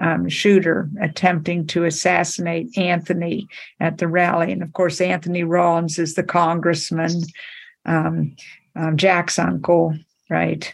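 A woman speaks fairly slowly with vocal fry and monotone, flat intonation. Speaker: book discussion leader. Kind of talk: group book discussion. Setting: conference call. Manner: halting.

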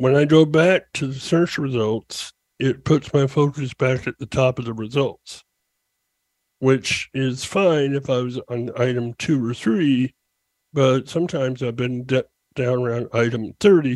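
At a fairly slow pace, a man talks in an ordinary speaking voice at medium pitch with ordinary pitch variation, the sound dry and close with no echo. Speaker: caller.

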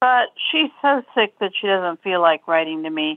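A woman speaks in an ordinary speaking voice at a fairly slow pace. Her intonation is lively. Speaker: writing group member. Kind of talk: casual group chat.

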